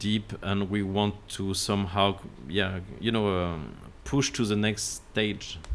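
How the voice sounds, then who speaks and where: In a French accent, a man with a fairly low pitch speaks at a fairly slow pace. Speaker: landscape architect. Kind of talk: podcast interview. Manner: halting, many fillers.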